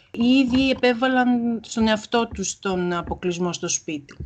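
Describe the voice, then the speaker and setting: A plain, everyday voice moves at a fairly slow pace over a quiet background. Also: woman. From Greece. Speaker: Greek language teacher. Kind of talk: interview.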